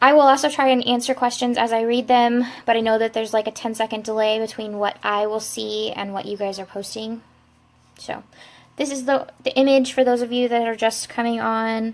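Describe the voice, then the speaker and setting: A woman's fairly high voice in a flat monotone, on a very clean recording with a silent background. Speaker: crafter. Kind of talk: live-stream tutorial. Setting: live video stream. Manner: fast.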